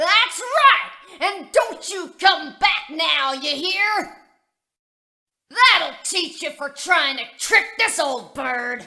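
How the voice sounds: A woman performs a put-on character voice at an extremely high pitch, with a bright, sharp tone. Her intonation is lively and her pace very slow.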